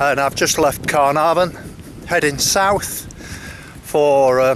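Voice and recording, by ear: With faint background noise behind him, a man speaks fairly slowly at a fairly high pitch, his tone fairly bright and his pitch varying in an ordinary way.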